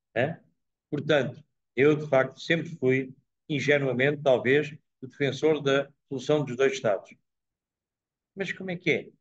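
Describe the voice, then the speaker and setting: Somewhat breathy and fairly high-pitched, a man speaks at a fairly slow pace with fairly even intonation and long, frequent pauses. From Portugal. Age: 80s. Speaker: professor giving a talk. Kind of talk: talk and Q&A at a dinner. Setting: dinner event with live audience.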